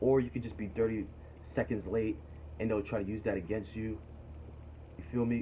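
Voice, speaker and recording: A man with an American accent has a fairly low pitch and a dark, mellow, somewhat breathy tone. He talks at a fairly quick pace with ordinary pitch variation. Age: 20s. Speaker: vlogger giving career advice. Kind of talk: casual monologue vlog. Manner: animated, emphatic.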